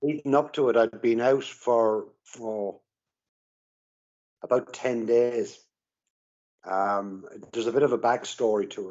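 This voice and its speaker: A man speaks with an Irish accent and a fairly even intonation. His delivery has long, frequent pauses. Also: medium pitch for a man, fairly slow pace. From Ireland. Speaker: recovering alcoholic. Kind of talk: interview. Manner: halting.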